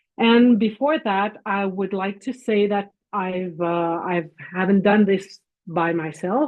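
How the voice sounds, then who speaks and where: At a very slow pace, a woman with a French Canadian accent speaks at medium pitch with ordinary pitch variation. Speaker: physician and professor. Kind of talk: lecture presentation.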